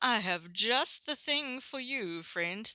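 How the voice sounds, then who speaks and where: A woman's put-on character voice, fairly high in pitch and very slow. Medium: read story.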